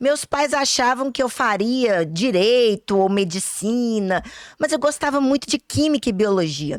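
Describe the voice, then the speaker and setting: A woman with a Minas Gerais accent talks at a fairly slow pace, her pitch fairly high. Her intonation is lively while her loudness stays very even. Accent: Minas Gerais (mineiro) accent, kept. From Brazil, Minas Gerais (Belo Horizonte). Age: 40s. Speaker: pharmacist and instructor. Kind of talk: online masterclass lecture.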